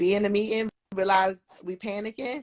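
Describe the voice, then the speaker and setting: In an ordinary speaking voice, a woman talks at a medium pitch and a fairly slow pace. The sound is dry and close, with no echo. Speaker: electrician and construction project manager. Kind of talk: casual interview on a livestream. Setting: livestream.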